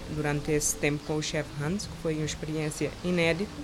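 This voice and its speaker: A woman talks at a very fast pace with a very deep, low pitch and monotone, flat intonation. Audible room echo and noticeable background noise fill the recording. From Cape Verde, Santo Antão island. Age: 30s. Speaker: chef. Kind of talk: interview. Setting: outdoor terrace by the sea.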